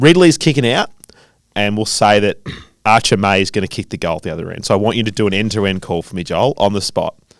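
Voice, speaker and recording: The speaker, with an Australian accent, talks at a very fast pace with ordinary pitch variation. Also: man, fairly low pitch for a man. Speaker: podcast host. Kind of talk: casual chat. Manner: loud.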